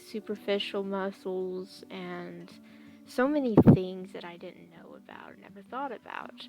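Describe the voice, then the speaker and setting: A woman talking at a very slow pace over background music. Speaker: digital artist. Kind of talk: casual talk while drawing. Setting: home, basic headset mic. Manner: soft, mumbling at times.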